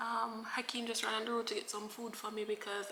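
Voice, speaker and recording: Words rush out extremely quickly. Background noise is clearly audible. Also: woman. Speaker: lifestyle vlogger. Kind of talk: casual vlog talk to camera. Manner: halting.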